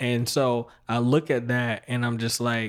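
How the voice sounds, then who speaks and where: A man's medium-pitched voice with an American accent, on a very clean recording with a silent background. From US South, North Carolina. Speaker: podcast host. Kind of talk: casual interview chat.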